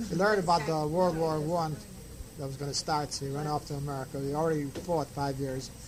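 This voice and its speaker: Amid noticeable background noise and audible room echo, a man speaks at a very fast pace with a fairly high pitch and fairly even intonation. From Russian Empire (Ukraine area), emigrated to US. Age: 50s. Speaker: family elder telling family history. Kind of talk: oral history interview.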